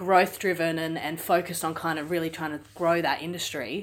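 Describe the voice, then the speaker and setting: Speaking quickly-ish with an Australian accent, a woman with a fairly low voice comes through on a very clean recording with a silent background. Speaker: podcast host. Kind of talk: casual interview.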